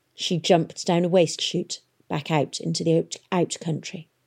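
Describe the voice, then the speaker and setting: The delivery has a dramatic tone and vocal fry. It moves at a moderate pace. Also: woman. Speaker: audiobook narrator. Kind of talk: literary audiobook reading, dramatic narration of a novel with character voices. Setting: radio broadcast. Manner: expressive, measured storytelling pace with dramatic pauses.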